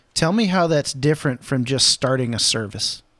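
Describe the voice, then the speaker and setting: This man has a plain, everyday voice, pitched fairly high and delivered at a fairly slow pace. The recording is very clean, with a silent background. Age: 30s. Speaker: podcast host and pastor. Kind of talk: casual chat.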